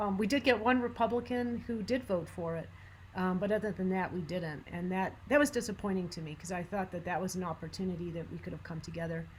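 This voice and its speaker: A woman talks at a very fast pace. Her voice is somewhat breathy, with ordinary pitch variation. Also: medium pitch for a woman. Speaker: gun violence prevention advocate. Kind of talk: presentation.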